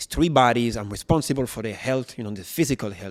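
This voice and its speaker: Very fast speech from a man in a French accent, medium in pitch. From France. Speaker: personal trainer, former footballer. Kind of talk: interview. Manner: halting.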